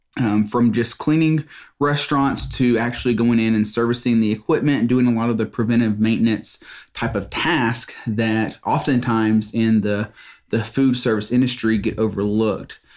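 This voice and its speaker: With a Southern US accent, a man speaks at a moderate pace, his medium-pitched voice fairly even in intonation. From Mississippi. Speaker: business owner, podcast host. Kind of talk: solo podcast monologue. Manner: halting, many fillers and repeats.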